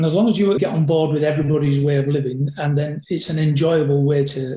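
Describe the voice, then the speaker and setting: Fairly high for a man, this somewhat breathy voice has a dark, mellow tone and fairly even intonation at a fairly quick pace. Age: 60s. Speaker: rugby coach. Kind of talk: interview conversation.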